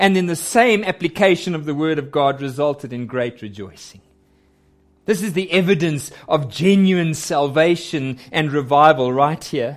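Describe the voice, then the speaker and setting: A normal speaking voice from a man, fairly high in pitch with lively intonation, in a very clean recording with a silent background. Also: moderate pace. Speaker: preacher. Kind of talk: sermon. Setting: church.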